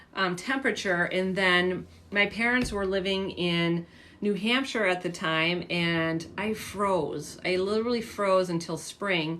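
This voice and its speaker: At a medium pitch with ordinary variation, a woman with an American accent speaks at a fairly slow pace. Her tone is bright and sharp, and audible room echo surrounds her. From San Diego, California. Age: 50s. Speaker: fitness coach. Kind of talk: casual livestream chat. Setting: livestream. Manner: casual, filler-heavy.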